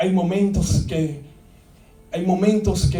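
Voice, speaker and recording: A man speaks at a very slow pace with a high pitch and ordinary pitch variation. Audible room echo surrounds his voice. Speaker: pastor. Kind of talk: sermon. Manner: halting.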